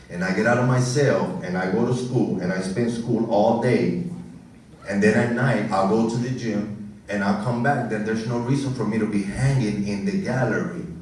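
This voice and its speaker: Amid noticeable background noise and audible room echo, a man talks at a medium pitch and moderate pace with ordinary pitch variation. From Puerto Rico. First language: Spanish. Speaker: commencement speaker. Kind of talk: commencement speech.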